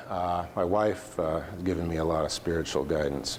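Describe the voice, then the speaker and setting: With an American accent, a man talks at a fairly quick pace over noticeable background noise. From US Northwest, small town. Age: 60s. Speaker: company CEO. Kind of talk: speech. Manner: halting.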